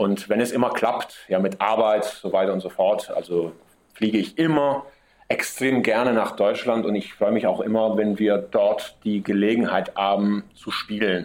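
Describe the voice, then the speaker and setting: The man's voice sits fairly low. He speaks at a fairly slow pace. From Sicily, Messina. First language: Italian (bilingual with German) (speaking German). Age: 30s. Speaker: metal drummer. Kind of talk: interview.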